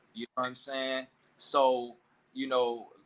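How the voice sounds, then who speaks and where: A man talks at a moderate pace with a fairly high pitch and a bright, sharp tone. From Mississippi Delta, US South. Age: 30s. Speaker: clothing designer and tailor. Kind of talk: casual interview chat.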